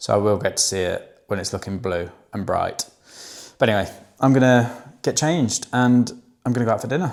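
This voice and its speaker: In a very clean recording with a silent background, a man with an English accent talks at a fairly quick pace and a medium pitch, with ordinary pitch variation and long, frequent pauses. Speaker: online fitness coach. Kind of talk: vlog, casual talk to camera. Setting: indoors, rented apartment.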